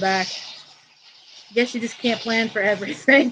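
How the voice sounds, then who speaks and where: A woman speaks loudly. Her pitch is high. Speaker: art teacher. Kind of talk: live tutorial wrap-up. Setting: outdoors on vacation, livestream.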